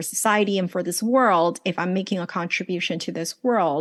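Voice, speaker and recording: Her medium pitch moves with ordinary variation as this woman talks. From US West Coast, Los Angeles. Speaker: life coach and business strategist. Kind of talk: podcast interview.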